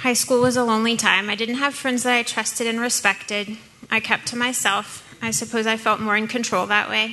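With an American accent, a woman talks at a fairly quick pace in a fairly high, monotone and flat voice over noticeable background noise. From US South, New Orleans. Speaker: church member sharing testimony. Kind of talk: testimony.

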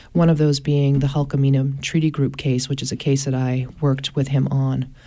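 Flat and monotone in intonation, the speech comes with an American accent. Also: woman. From Maine, US. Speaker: attorney and environmental advocate. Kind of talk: radio interview discussion. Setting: radio studio.

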